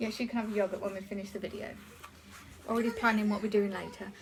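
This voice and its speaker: A woman with an English accent, monotone and flat, over noticeable background noise. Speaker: haul vlogger. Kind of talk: casual haul video talk. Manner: fast; hesitant, many ums.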